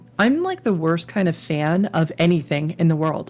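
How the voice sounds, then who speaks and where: Music plays in the background as a woman talks. Her pitch is fairly low and her pace moderate. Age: 50s. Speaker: podcast host, fantasy cartographer and illustrator. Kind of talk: casual chat.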